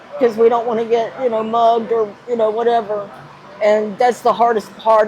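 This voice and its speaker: Over noticeable background noise, a woman with an American accent talks at a fairly quick pace, her fairly high pitch held in a monotone, flat intonation. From Gainesville, Florida. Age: 60s. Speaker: homeless woman living in her car. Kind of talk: interview answer.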